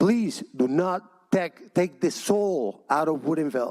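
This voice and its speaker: With a Cuban accent, a man speaks in a dark, mellow tone at a high pitch with lively intonation. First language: Spanish. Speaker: public commenter at city council. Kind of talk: public comment. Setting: council chamber, packed room. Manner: impassioned.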